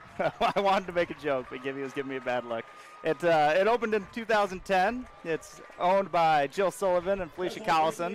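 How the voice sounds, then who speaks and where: With noticeable background noise behind him, a man with an American accent speaks at a fairly quick pace, his high pitch carrying lively intonation. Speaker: high school football announcer. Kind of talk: live sports commentary. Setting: stadium broadcast booth.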